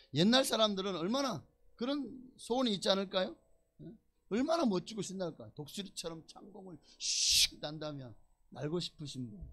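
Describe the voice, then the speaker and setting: Bright, sharp, high male voice at a moderate pace with very wide pitch swings. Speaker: pastor. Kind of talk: sermon. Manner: animated.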